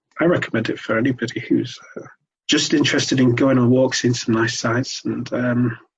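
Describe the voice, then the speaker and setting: With a Manchester accent, a man speaks at a fairly quick pace. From Sale, South Greater Manchester, England. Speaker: hiker with epilepsy. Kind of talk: interview. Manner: halting.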